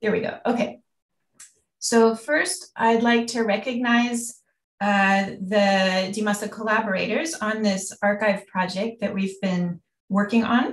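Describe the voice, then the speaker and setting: A woman's somewhat breathy, fairly high voice with an American accent, fairly even intonation and a fairly slow pace. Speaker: university researcher, anthropologist. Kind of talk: lecture. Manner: hesitant, many fillers.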